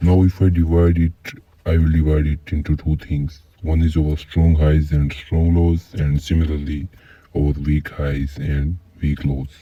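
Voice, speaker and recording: A man with a non-native accent speaks at a fairly slow pace in a very deep, low pitch with monotone, flat intonation, over noticeable background noise. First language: not English. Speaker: trading teacher. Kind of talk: tutorial.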